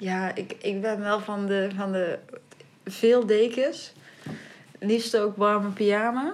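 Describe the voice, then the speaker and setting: With a southern Dutch accent, the speaker goes at a very slow pace with long, frequent pauses and fairly even intonation, over noticeable background noise. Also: woman, medium pitch for a woman. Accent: southern Dutch, audible. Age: young. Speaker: podcast co-host. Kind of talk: casual chat.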